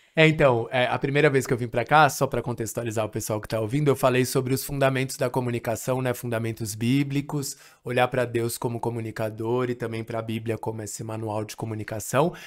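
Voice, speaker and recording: Against a quiet background, a man talks at a very fast pace with hardly any pauses. His intonation stays fairly even. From Brazil, São Paulo city. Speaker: missionary and language trainer; podcast guest. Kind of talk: podcast interview; interview answer. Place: home room. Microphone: studio mic.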